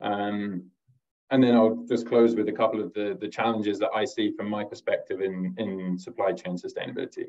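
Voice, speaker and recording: At a fairly quick pace, a normal speaking voice talks with ordinary pitch variation. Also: man, fairly low pitch for a man. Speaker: corporate sustainability director. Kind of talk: webinar presentation. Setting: video call. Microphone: video call.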